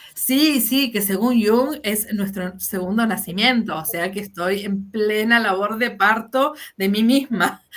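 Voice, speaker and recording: A woman with a Rioplatense accent at a very slow pace, with ordinary pitch variation and hardly any pauses. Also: fairly high pitch for a woman. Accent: Argentine Spanish (rioplatense). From Argentina. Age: 50s. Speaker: fantasy fiction writer. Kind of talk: interview.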